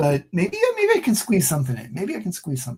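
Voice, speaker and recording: Speaking at a very fast pace, a man sounds somewhat breathy. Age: 60s. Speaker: comic book creator. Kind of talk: casual interview chat. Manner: animated.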